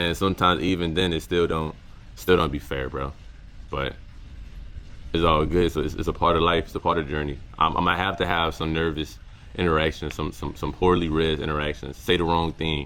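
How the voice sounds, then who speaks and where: A man with a very deep, low pitch, vocal fry, fairly even intonation, and a fairly quick pace. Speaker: content creator. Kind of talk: casual vlog reflection. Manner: halting, many repeated words.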